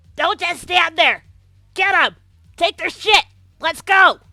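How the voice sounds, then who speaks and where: In a put-on character voice with an extremely high pitch, the speaker goes at a fairly slow pace with monotone, flat intonation. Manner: aggressive, barking orders.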